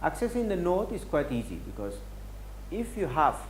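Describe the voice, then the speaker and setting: Audible room echo follows the man as he talks. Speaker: software workshop instructor. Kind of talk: technical tutorial. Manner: fast.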